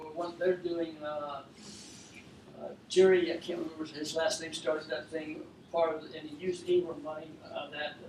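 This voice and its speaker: The recording carries audible room echo. A man speaks through noticeable background noise. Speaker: furniture business owner. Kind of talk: talk to an audience. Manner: fast.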